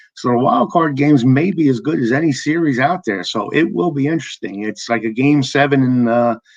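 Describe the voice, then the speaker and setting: This man has a normal speaking voice at a medium pitch, talking at a fairly quick pace with lively intonation and hardly any pauses against a quiet background. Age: 60s. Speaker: podcast host. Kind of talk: casual chat.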